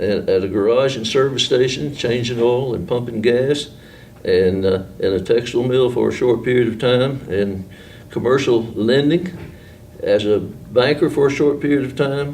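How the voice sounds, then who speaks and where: A man's medium-pitched voice in an Appalachian accent, with ordinary pitch variation, a moderate pace and audible room echo. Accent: Appalachian Southern US. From western North Carolina, Marion. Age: 70s. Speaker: retired newspaperman. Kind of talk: oral history interview. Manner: casual, hesitant with fillers.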